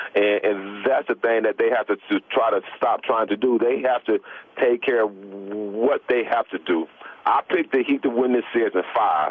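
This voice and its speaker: A man speaks with ordinary pitch variation and very even loudness. Noticeable background noise can be heard. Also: medium pitch for a man, moderate pace. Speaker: former professional basketball player. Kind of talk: radio interview answer. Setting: phone line.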